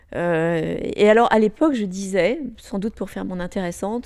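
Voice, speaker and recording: This woman has a dark, mellow tone, captured in a very clean recording with a silent background. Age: 60s. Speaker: former corporate executive. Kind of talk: interview. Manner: hesitant with frequent fillers.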